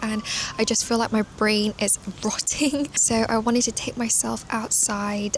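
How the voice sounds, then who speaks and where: A fairly slow voice with a British accent over noticeable background noise. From United Kingdom. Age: 20s. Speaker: children's book illustrator and content creator. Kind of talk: casual vlog talk to camera.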